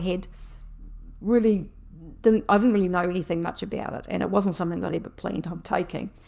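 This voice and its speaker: A woman's medium-pitched voice, dark and mellow in tone, with ordinary pitch variation. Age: 60s. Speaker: health vlogger. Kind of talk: personal video diary. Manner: casual, conversational.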